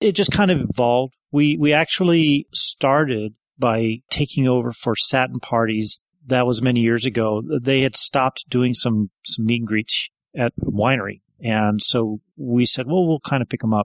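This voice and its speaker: A man with an ordinary speaking voice talks at a medium pitch and moderate pace, his loudness very even and his pitch varying in an ordinary way, in a dry, close sound with no echo. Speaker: party organizer. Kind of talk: casual interview.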